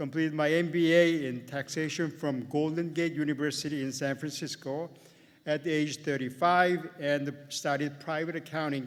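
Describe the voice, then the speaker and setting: In a Korean accent, a man with a fairly high pitch speaks monotone and flat at a moderate pace. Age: 70s. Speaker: accountant and commencement speaker. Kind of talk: commencement speech.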